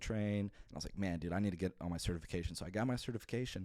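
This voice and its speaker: A fairly low-pitched man at a very fast pace, with fairly even intonation. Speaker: podcast host. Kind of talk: casual solo podcast monologue.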